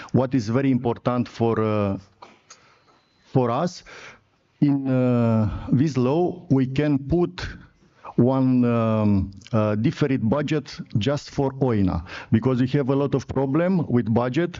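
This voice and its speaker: A man with a Romanian accent speaks very slowly, with long, frequent pauses. His pitch is medium with ordinary variation, and his loudness stays very even. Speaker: sports federation president. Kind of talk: conference presentation. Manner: halting.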